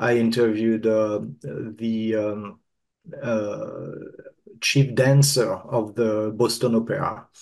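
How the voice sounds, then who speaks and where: Speaking at a very slow pace, a man with a French accent keeps a medium pitch and fairly even intonation. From France. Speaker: marketing consultant. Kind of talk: casual chat.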